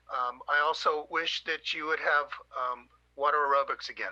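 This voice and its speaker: A man's voice, dry and close with no echo. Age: 60s. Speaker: public commenter at city council meeting. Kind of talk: public comment. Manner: halting, many fillers.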